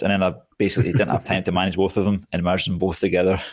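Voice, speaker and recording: In a Scottish accent, a man speaks with a very deep, low pitch. The recording is very clean, with a silent background. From Scotland. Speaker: survival YouTuber. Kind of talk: podcast interview.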